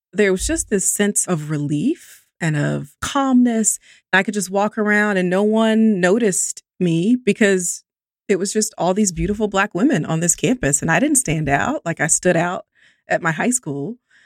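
Here is a normal speaking voice with lively intonation at a moderate pace. The sound is dry and close, with no echo. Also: woman, medium pitch for a woman. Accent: American. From US South, Columbus, Georgia. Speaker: statistician and math professor. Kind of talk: interview conversation.

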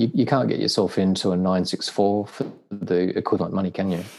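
Speaking in an Australian accent, a man has a very deep, low pitch. He moves at a moderate pace with ordinary pitch variation. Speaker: car owner. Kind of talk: casual chat. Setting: video call.

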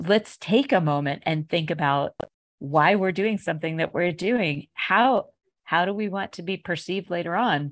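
A woman with an ordinary speaking voice talks at a moderate pace in a fairly low pitch with ordinary pitch variation, in a dry, close sound with no echo against a quiet background. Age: 50s. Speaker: podcast host. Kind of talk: interview.

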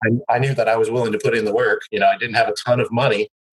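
Recorded dry and close with no echo, a man speaks in a US Midwestern accent. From US Midwest (Michigan / Cincinnati area, Ohio). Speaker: laundromat business owner. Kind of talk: interview.

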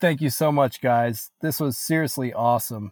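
In a very clean recording with a silent background, a man speaks in a normal speaking voice at a moderate pace with fairly even intonation. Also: dry, close sound with no echo. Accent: American. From Northeast Pennsylvania. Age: 20s. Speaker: musician and father. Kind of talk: interview conversation.

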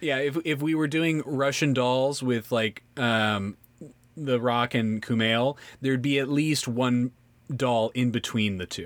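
A man's normal speaking voice, medium-pitched with ordinary pitch variation and a General American accent, at a fairly slow pace in a very clean recording with a silent background. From San Francisco Bay Area. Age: 40s. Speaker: comedian and podcast host. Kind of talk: casual chat.

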